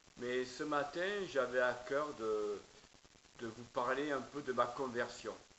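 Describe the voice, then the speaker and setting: In a room with audible echo, a man talks very slowly in a southern French accent. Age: 50s. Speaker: preacher. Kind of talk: testimony. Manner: halting, many hesitations.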